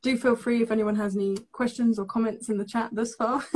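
A woman's dark, mellow, somewhat breathy voice with fairly even intonation. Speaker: live stream host. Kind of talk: casual host chat. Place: home room.

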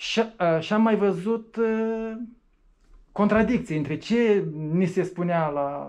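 A man talks at a very slow pace in a high pitch. His pitch variation is ordinary. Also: quiet background. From Moldova. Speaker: atheist activist; interviewee. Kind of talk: interview. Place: meeting room.

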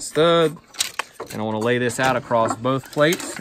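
The sound is dry with no echo. Noticeable background noise can be heard. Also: man. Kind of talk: tutorial. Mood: relaxed, upbeat. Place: open country. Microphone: phone near.

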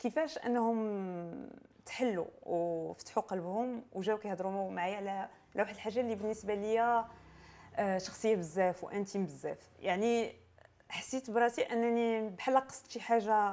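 Speaking in a Moroccan accent, a woman with a fairly high voice and a dark, mellow tone talks at a moderate pace with ordinary pitch variation. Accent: Moroccan Darija with French code-switching. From Morocco. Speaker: playwright; guest. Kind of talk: interview. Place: shop. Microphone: lapel.

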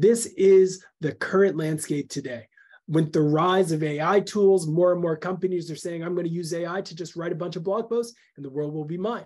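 A man's high-pitched voice at a moderate pace, with ordinary pitch variation and a quiet background. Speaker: webinar presenter. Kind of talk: webinar talk. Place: home room.

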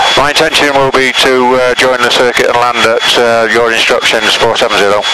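A man talks at a fairly quick pace in a flat monotone, his volume very even, with a dry, echo-free sound over loud background noise. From UK. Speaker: private pilot. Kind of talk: aviation radio call to air traffic control. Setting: aircraft radio in cockpit. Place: plane. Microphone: headset.

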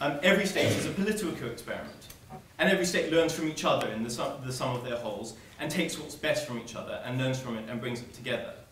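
The delivery is very fast with lively intonation. Audible room echo and light background noise accompany it. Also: man, fairly high pitch for a man. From South Africa. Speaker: student debater. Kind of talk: debate speech. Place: hall. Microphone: camera far.

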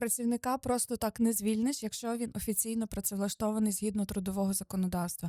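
A woman talks at a very fast pace with hardly any pauses, very even loudness and fairly even intonation. Her tone is dark and mellow, in a very clean recording with a silent background and a dry, close sound with no echo. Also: fairly high pitch for a woman. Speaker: lawyer. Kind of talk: expert explanation, interview. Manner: precise, formal, explanatory.

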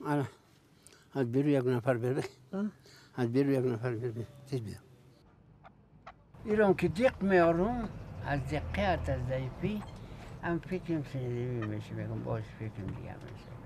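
A man's dark, mellow, somewhat breathy voice with very wide pitch swings and long, frequent pauses, dry with no echo over light background noise. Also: moderate pace, big swings in loudness. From Afghanistan. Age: 80s+. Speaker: traditional bone setter. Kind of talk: interview answer. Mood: weary, reflective.

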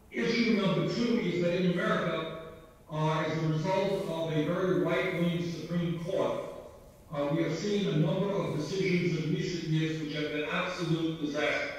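With strong room echo behind him, a man speaks at a moderate pace in a high pitch with fairly even intonation. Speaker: remote guest. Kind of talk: political speech. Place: home room. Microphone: video call.

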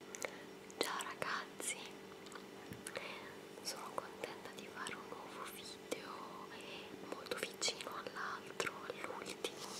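Speaking at a very slow pace, the woman leaves long, frequent pauses. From Italy. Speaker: ASMR creator. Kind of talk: casual talk to camera, show and tell. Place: home room. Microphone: webcam.

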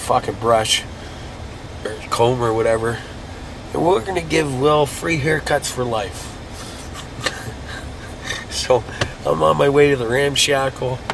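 Noticeable background noise sits behind this man's voice. He speaks at a fairly slow pace, with long, frequent pauses. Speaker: vlogger. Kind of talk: casual vlog chat. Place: car. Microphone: phone near.

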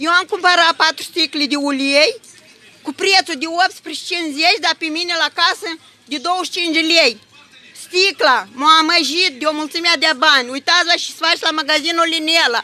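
A woman with an extremely high pitch uses a raised, projected voice and an animated tone, speaking fairly slowly with ordinary pitch variation. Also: dry sound with no echo. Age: 60s. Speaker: pensioner. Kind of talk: heated argument; agitated complaint to staff and camera. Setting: in a shop. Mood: indignant, arguing. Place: shop. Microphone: phone near.

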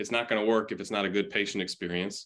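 A man's fairly low, bright and sharp voice with an American accent, very fast, over a quiet background. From Chicago area, US Midwest; Illinois. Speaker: physical therapist, health tech company representative; podcast guest. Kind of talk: interview podcast, casual business chat. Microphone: earbuds.

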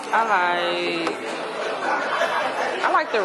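Music can be heard behind the speech. The speaker is a woman. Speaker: vlogger. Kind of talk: casual vlog chat. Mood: playful, relaxed. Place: cafe. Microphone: phone near.

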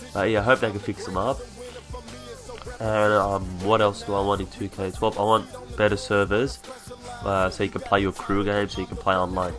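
A man at a fairly quick pace, long, frequent pauses, music in the background. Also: fairly low pitch for a man, fairly even intonation. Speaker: gaming commentator. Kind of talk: video game commentary. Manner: fast.

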